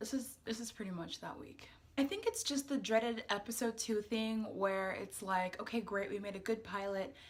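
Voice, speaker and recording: This woman speaks at a moderate pace in a fairly high, somewhat breathy voice, keeping her intonation fairly even. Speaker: YouTube vlogger. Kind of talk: casual vlog talk with skincare tutorial. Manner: casual, many fillers.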